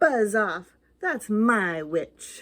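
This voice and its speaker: In a put-on character voice, a woman sounds shrill, croaky and growling at a medium pitch, on a very clean recording with a silent background. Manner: menacing.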